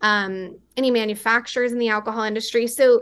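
In an ordinary speaking voice with an American accent, a woman talks at a fairly quick pace and fairly high pitch with ordinary pitch variation against a quiet background. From West Texas. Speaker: beverage company founder. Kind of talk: interview.

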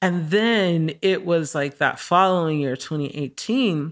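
On a very clean recording with a silent background, a woman speaks fairly slowly in an unremarkable speaking voice, fairly low in pitch with ordinary pitch variation. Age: 30s. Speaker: artist and singer. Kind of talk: casual interview chat.

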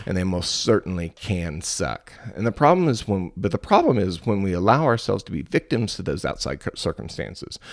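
A man speaks with hardly any pauses, his fairly low-pitched voice carrying vocal fry. The recording is very clean, with a silent background. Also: lively intonation, fairly quick pace. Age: 30s. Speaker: podcast host. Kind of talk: solo podcast monologue. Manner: halting.

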